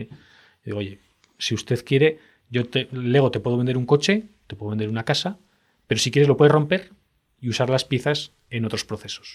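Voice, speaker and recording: Long, frequent pauses break up a man's fairly quick speech, delivered at a medium pitch with ordinary pitch variation. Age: 40s. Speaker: tech entrepreneur and CEO. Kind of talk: interview.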